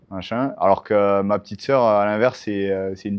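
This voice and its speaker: With monotone, flat intonation, a man talks at a fairly low pitch. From southern France (Montpellier area, Hérault). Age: 30s. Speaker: MMA fighter and coach. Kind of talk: interview. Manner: hesitant, many fillers.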